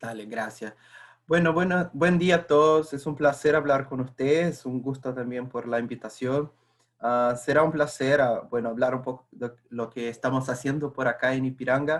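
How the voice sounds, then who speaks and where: The speaker has a Portuguese accent and a moderate pace. The intonation stays fairly even. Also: man, medium pitch for a man. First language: Portuguese (speaking Spanish). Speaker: corporate internal communications staffer. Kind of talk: webinar presentation.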